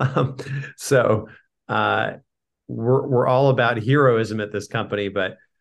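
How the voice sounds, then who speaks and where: Against a quiet background, a man with an American accent talks at a fairly slow pace with ordinary pitch variation. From US West Coast, San Diego. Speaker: company founder. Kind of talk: podcast interview.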